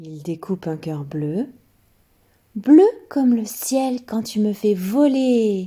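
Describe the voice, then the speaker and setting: The pace is very slow. Long pauses come often. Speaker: children's story reader. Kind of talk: reading aloud.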